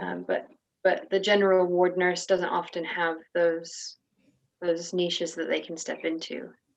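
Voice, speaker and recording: Fairly slow and fairly low in pitch, a woman with an American accent uses a normal speaking voice with fairly even intonation. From United States. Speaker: nurse. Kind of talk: interview answer.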